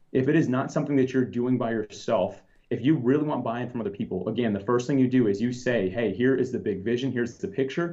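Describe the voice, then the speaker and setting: A man with a dark, mellow tone and medium pitch speaks at a very fast pace. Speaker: entrepreneur and business coach. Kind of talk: casual interview chat.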